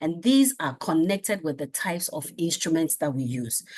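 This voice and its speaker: This is an unremarkable speaking voice at a moderate pace over a quiet background. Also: woman. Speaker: research methods lecturer. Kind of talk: lecture.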